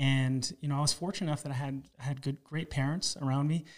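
A man with a Canadian accent and a normal speaking voice, fairly high-pitched, at a fairly quick pace, with fairly even intonation, on a very clean recording against a silent background. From Toronto, Canada. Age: 40s. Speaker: podcast host. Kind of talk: interview.

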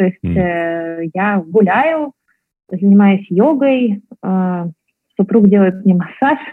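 Lively intonation marks speech delivered at a very slow pace. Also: woman. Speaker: entrepreneur, startup founder. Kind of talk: interview.

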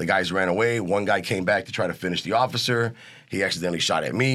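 With an American accent, a man talks at a very fast pace in a bright, sharp tone with ordinary pitch variation, captured in a very clean recording with a silent background. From US Midwest, East Chicago, Indiana. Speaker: actor and chef. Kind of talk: interview.

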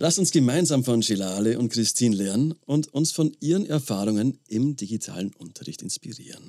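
Lively in intonation, a man talks at a fairly quick pace with hardly any pauses. His voice is medium in pitch with a dark, mellow tone. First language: German. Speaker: podcast co-host, teacher. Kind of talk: interview.

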